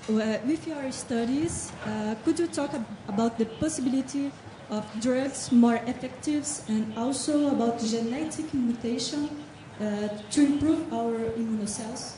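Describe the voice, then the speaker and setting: A woman in a Portuguese accent speaks at a high pitch over noticeable background noise. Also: ordinary pitch variation, fairly slow pace. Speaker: audience questioner. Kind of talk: Q&A question. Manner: halting.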